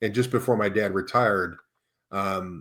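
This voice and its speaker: With an American accent, a man speaks in an ordinary speaking voice at a fairly low pitch with fairly even intonation, captured in a very clean recording with a silent background. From US Midwest. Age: 50s. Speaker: leadership coach. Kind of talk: podcast interview.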